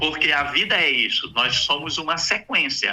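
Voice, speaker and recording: A man talks at a fairly slow pace. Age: 60s. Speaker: psychologist. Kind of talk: radio interview.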